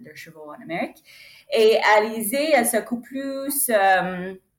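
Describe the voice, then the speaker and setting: In an English accent, a woman speaks very slowly. Her intonation is lively. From United States. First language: English (speaking French). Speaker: horse broker. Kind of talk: interview. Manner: halting.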